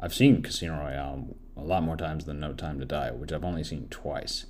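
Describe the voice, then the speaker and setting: Over audible room echo, a man with a very deep, low voice and vocal fry speaks at a moderate pace. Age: 30s. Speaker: podcast film reviewer. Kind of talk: solo film review monologue. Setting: home recording while doing laundry. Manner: casual, halting with self-corrections.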